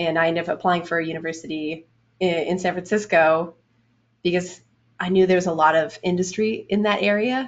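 Fairly low in pitch and fairly even in intonation, a woman with a plain, everyday voice talks at a fairly quick pace. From Canada, Edmonton, Alberta. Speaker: game animator. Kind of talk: interview.

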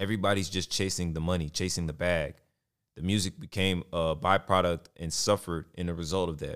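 With a very deep, low pitch and fairly even intonation, a man is heard in a very clean recording with a silent background. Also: fairly quick pace. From Texas. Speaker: podcast host. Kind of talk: casual solo commentary on hip hop.

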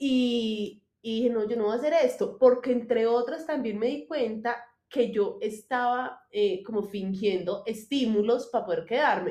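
Fairly high-pitched woman's voice with a dark, mellow tone, fairly slow yet with hardly any pauses, and ordinary pitch variation. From Colombia, Manizales. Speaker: clothing designer, former lawyer. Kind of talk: casual interview chat.

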